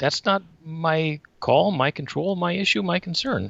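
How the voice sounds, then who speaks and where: A man with an American accent speaks in a high voice. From US Upper Midwest (Wisconsin). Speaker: yoga teacher, retired communication instructor. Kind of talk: casual interview chat. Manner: animated.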